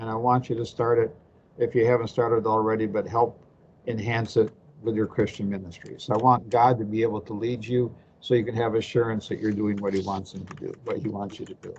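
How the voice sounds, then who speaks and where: A man talks at a fairly quick pace and medium pitch, in a flat monotone. His voice is somewhat breathy, with big swings in loudness. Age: 70s. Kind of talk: class presentation.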